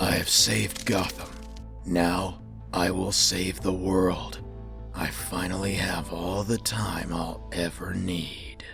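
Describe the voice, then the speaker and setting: Backed by clear music, a man does a put-on character voice at a very deep, low pitch and a fairly slow pace. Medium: dub. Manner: grim, intense.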